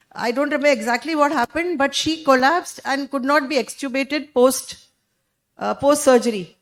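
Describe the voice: Loud and high-pitched, a woman speaks at a moderate pace with ordinary pitch variation.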